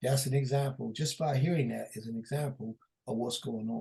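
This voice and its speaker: A man speaks at a moderate pace and a medium pitch. His voice is somewhat breathy. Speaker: preacher. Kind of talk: sermon. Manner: halting.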